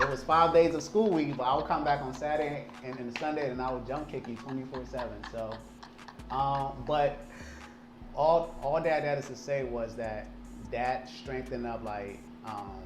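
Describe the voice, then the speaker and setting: An American-accented man speaks at medium pitch and a moderate pace with ordinary pitch variation, amid noticeable background noise and audible room echo. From Liberia, then New Jersey and Maryland. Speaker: event company owner. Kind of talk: interview. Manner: repetitive, stammering restarts.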